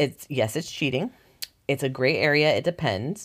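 The speaker is a woman. Her voice sits very deep and low in pitch. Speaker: podcast co-host. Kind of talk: casual chat. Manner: fast, sometimes poorly enunciated.

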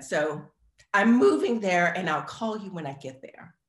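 A woman talks at a moderate pace with very wide pitch swings. Audible room echo surrounds her voice. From New Orleans, Louisiana. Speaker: K-pop dancer and actor. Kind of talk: casual chat.

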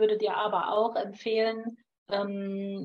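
Monotone and flat in intonation, a woman talks at a very slow pace. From Lower Saxony, northern Germany. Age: 50s. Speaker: naturopath and homeopath. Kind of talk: advice in call-in show.

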